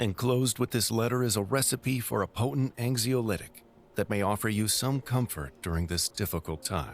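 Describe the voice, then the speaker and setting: Using a robotic, put-on character voice, a man talks at a fairly quick pace with a medium pitch. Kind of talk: formal, condolence letter.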